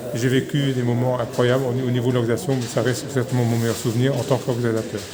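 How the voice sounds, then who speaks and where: The delivery is very fast, with monotone, flat intonation. Audible room echo and noticeable background noise surround it. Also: man, medium pitch for a man. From Belgium, Mouscron (Wallonia). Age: 60s. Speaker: retired cyclist and race organizer. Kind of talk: interview. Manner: hesitant, with fillers.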